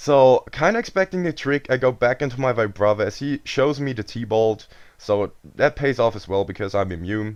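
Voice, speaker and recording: Lively intonation at a moderate pace against a quiet background. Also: man, medium pitch for a man. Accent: German. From Germany. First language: German. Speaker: gaming commentator. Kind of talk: video game commentary. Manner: casual.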